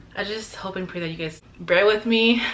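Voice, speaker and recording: A woman talks with an American accent and ordinary pitch variation. There is noticeable background noise. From Arizona. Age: 20s. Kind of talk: casual talk to camera.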